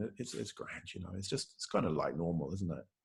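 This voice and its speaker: A man's voice with vocal fry. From New Zealand. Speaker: Buddhist teacher. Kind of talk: dharma talk. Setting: video call. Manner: hesitant, many fillers.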